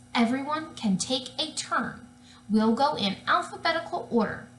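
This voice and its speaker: At a moderate pace, a woman performs a put-on character voice with a high pitch. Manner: calm, mom-like.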